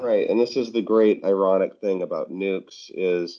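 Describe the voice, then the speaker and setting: Speaking at a fairly slow pace, a man has a dark, mellow tone and a monotone, flat intonation. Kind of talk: casual chat. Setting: phone call.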